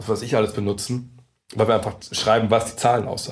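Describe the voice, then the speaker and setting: A man's fairly low voice at a moderate pace. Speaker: basketball journalist. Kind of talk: casual interview. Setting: meeting room in Berlin.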